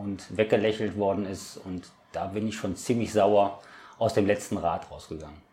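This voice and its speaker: With a dark, mellow tone, a man speaks at a fairly low pitch and a fairly slow pace. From Ratingen, western Germany. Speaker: local politician. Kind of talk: interview.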